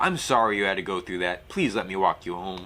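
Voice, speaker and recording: A man's put-on character voice, very deep and low, at a fairly quick pace. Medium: game stream. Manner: soft-spoken.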